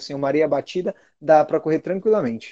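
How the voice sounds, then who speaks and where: Speaking at a fairly quick pace, a man with a dark, mellow tone uses ordinary pitch variation, his voice dry and close with no echo. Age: 30s. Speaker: amateur marathon runner and race pacer. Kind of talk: casual chat.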